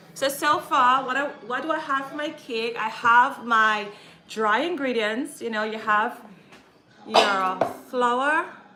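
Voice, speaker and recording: A woman's high-pitched voice with ordinary pitch variation, at a very slow pace, with audible room echo and noticeable background noise. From Caribbean. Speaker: cooking vlogger. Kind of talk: live cooking tutorial. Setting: home kitchen livestream. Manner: chatty, self-correcting.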